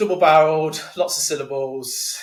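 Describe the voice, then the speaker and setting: Somewhat breathy, a man speaks in an English Midlands accent at a moderate pace with fairly even intonation. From England, Leicestershire. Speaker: sales community founder. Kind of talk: podcast interview. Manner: hesitant, many repeated words.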